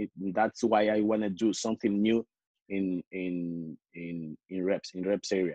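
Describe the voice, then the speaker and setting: A man with a Spanish accent, fairly slow, in a dark, mellow tone and a fairly low pitch, with fairly even intonation, a dry sound with no echo and a quiet background. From Spain. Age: 20s. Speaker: calisthenics athlete; interview guest. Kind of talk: interview. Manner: halting, many repetitions. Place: home room. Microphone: video call.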